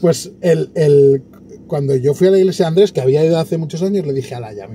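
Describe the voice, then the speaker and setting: A man with a fairly high pitch talks at a fairly quick pace, his pitch swinging very widely. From Catalonia, Spain. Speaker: podcast interviewer. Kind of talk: casual interview conversation.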